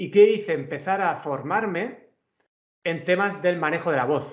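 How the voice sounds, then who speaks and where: A high-pitched man with a Murcian accent. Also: ordinary pitch variation, fairly slow pace. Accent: Murcian Spanish, drops letters. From Murcia, Spain. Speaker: university professor. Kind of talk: conference talk. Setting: video call.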